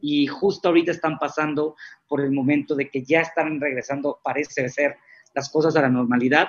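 With an unremarkable speaking voice, a man talks at a fairly quick pace, fairly high in pitch and with fairly even intonation. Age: 30s. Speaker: executive recruiter. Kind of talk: interview.

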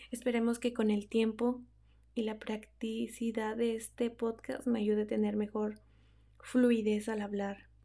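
A woman with a Mexican accent speaks at a fairly slow pace in a fairly high pitch, her dark, mellow tone held in a monotone, flat intonation. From Mexico. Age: 20s. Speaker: podcast host. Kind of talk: casual monologue. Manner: unscripted, hesitant.

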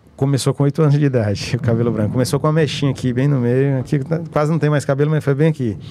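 Speaking at a very fast pace with hardly any pauses, a man keeps a fairly high pitch, fairly even intonation and very even loudness. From Teresina, Piauí, Brazil. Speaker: state politician. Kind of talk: interview.

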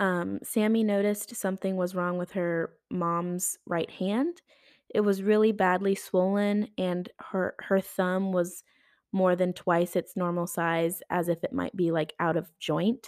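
A woman's plain, everyday voice at medium pitch, fairly slow and fairly even in intonation, in a very clean recording with a silent background and a dry, close sound with no echo. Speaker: true crime podcast host. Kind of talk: true-crime narration, read steadily from a script with quoted dialogue. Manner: conversational and casual in intros, rambling and self-correcting; even, storytelling pace in narration, gravely indignant about the killers.

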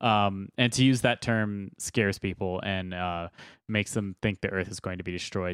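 A man talks at a moderate pace in an unremarkable speaking voice, pitched fairly low. The recording is very clean with a silent background, and the sound is dry and close with no echo. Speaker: podcast co-host. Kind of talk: casual banter. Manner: joking, sarcastic.

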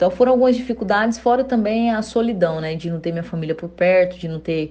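Dark, mellow tone from a woman, its pitch varying in an ordinary way. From Brazil, interior of Goiás. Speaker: Olympic wrestler. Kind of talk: interview.

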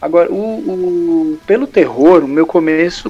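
A man's voice over noticeable background noise. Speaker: comic book author. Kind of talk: casual chat.

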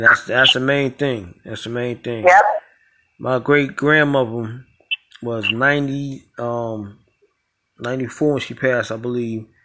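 Bright and sharp in tone, a man talks at medium pitch with ordinary pitch variation. His pace is very slow, with long, frequent pauses. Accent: Brooklyn. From New York, Brooklyn. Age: 40s. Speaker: podcast host. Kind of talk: casual interview.

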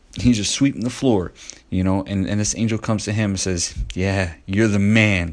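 A man talks in a plain, everyday voice at a fairly low pitch. His pitch variation is ordinary. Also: moderate pace. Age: 40s. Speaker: faith-based self-help podcaster. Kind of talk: motivational Bible teaching monologue. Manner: conversational, repetitive.

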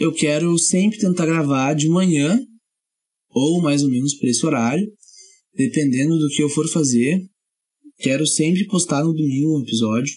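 Speaking in a dark, mellow tone, a man with a fairly high pitch keeps a moderate pace, ordinary pitch variation, very even loudness, and long, frequent pauses. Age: 20s. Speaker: podcast host and musician. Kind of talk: casual solo podcast monologue.

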